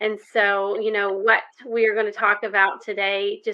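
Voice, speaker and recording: A woman in an Arkansas accent, medium in pitch, at a fairly slow pace. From US South, Arkansas. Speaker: health coach and ministry leader. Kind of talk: podcast interview. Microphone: echo on call.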